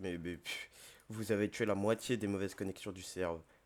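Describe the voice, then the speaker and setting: A very clean recording with a silent background, carrying flat, monotone intonation. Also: man. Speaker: gaming youtuber. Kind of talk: gameplay commentary. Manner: hesitant, many fillers.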